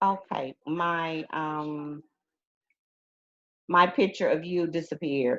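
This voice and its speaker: A woman's fairly low, very slow voice in an Alabama accent, with fairly even intonation and long, frequent pauses. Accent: Southern US (Alabama). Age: 60s. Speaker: retired teacher. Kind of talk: interview. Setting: video call.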